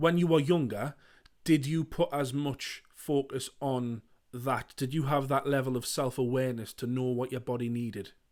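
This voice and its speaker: On a very clean recording with a silent background, a man with a British accent talks at a moderate pace in fairly even intonation. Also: medium pitch for a man. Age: 30s. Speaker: podcast host. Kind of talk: interview.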